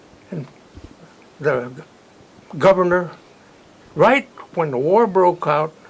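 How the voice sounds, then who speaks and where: Over noticeable background noise, a man with an American accent and a high pitch speaks at a very slow pace with lively intonation and long, frequent pauses. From California. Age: 80s+. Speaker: war veteran. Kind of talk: interview answer.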